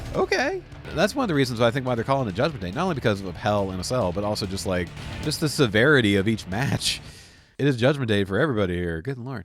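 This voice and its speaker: Music plays in the background behind a man. He talks at a very fast pace with a medium pitch. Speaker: streamer. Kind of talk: casual gameplay commentary.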